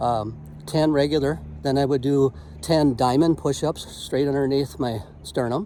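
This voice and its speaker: A man with an ordinary speaking voice talks fairly high in pitch, showing ordinary pitch variation. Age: 60s. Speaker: motivational vlogger and business owner. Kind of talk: casual motivational vlog.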